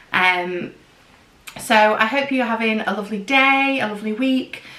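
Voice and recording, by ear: A woman's bright, sharp tone with fairly even intonation, in audible room echo.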